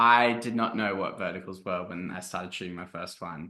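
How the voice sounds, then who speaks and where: With an Australian accent, a man talks at a fairly quick pace in a very deep, low pitch, his tone bright and sharp, his intonation fairly even and his loudness swinging widely. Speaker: podcast guest, shoots vertical videos.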